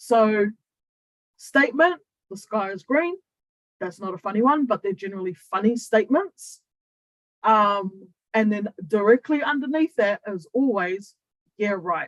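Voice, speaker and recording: With a New Zealand accent, a woman speaks at a fairly high pitch and a fairly slow pace with lively intonation and long, frequent pauses, in a dry, close sound with no echo. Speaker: human design coach. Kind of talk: online training talk. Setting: Zoom livestream to YouTube. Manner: casual, conversational.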